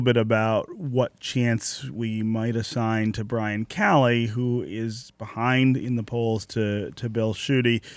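Over a silent background on a very clean recording, a man with an American accent speaks at a fairly slow pace and medium pitch in an unremarkable speaking voice. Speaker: radio host. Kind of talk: radio talk show. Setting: studio.

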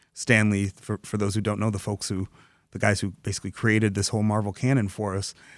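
Sounding dry and close with no echo, a man with an American accent talks very fast in a fairly low, monotone, flat voice. The recording is very clean, with a silent background. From Dearborn, Michigan, US. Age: 40s. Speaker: comic book writer and novelist. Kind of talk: radio interview. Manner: halting, many fillers and repeats.

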